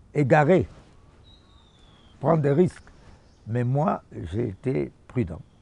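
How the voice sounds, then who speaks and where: Vocal fry colors a dark, mellow tone at a very slow pace. Long, frequent pauses break up the speech. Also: man, medium pitch for a man, lively intonation. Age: 70s. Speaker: musician. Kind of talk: interview.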